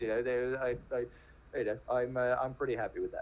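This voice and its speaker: With a British accent, a man speaks at a medium pitch and a fairly quick pace. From England, home counties. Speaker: venture capitalist, podcaster. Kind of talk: casual interview chat. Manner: halting, many repeated words.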